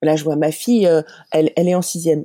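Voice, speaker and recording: With a very deep, low voice and a dark, mellow tone, a woman speaks at a fairly quick pace in a dry, close sound with no echo. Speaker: parent and advocate for children with learning disorders. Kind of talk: interview testimony. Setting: remote call. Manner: fast with frequent hesitations.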